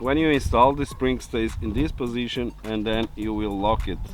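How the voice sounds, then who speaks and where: A man with a Portuguese accent speaks at a fairly slow pace in a fairly low voice. Music plays in the background. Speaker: car DIY YouTuber. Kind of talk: tutorial. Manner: hesitant with many fillers.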